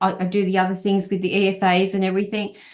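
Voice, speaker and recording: Here a woman talks at a very fast pace with an Australian accent. Her pitch is medium. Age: 60s. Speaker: health and wellness guest speaker. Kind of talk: online presentation. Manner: halting, many fillers.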